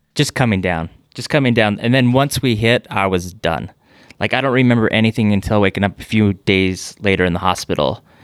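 With a normal speaking voice, a man talks at a fairly quick pace in a fairly low pitch with ordinary pitch variation. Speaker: businessman and plane crash survivor. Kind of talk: casual interview. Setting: in-person studio.

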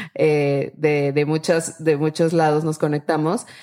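A woman speaks at a fairly slow pace with a fairly low pitch. Noticeable background noise runs under her voice. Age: 30s. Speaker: startup founder. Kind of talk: interview.

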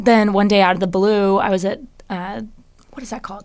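With an American accent, a woman speaks in an ordinary speaking voice at a medium pitch and fairly even intonation. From Washington State, Bellevue. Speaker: fashion model. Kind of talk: casual chat.

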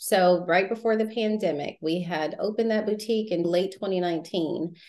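Her pitch medium and her intonation lively, a woman speaks at a fairly slow pace. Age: 40s. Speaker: accountant and entrepreneur. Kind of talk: interview about coaching experience.

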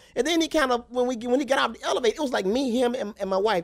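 Speaking very fast with a Southern US accent, a man talks at an extremely high pitch. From Alabama (Tuscaloosa). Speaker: comedian. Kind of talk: casual chat. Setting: studio.

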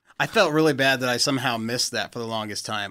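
An unremarkable speaking voice with fairly even intonation comes through on a very clean recording against a silent background. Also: man. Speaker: fan filmmaker. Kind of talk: casual chat.

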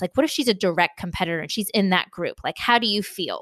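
A woman's fairly quick, lively speech with a Californian accent against a quiet background. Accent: General American (Californian). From US West Coast, San Diego, California. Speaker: entrepreneur, author and podcaster. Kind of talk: interview conversation.

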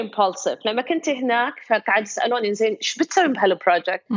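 Her pitch swinging very widely, a woman speaks at a moderate pace with a Kuwaiti accent. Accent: Kuwaiti Gulf Arabic. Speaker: photographer. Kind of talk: interview.

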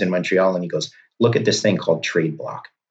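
Very fast male speech with ordinary pitch variation. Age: 50s. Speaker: bitcoin strategist. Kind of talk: interview. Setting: remote call.

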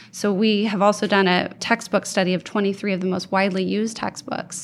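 A woman with an American accent has an unremarkable speaking voice at medium pitch. She talks at a fairly quick pace with fairly even intonation. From Oregon, US. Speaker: museum educator. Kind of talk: interview conversation.

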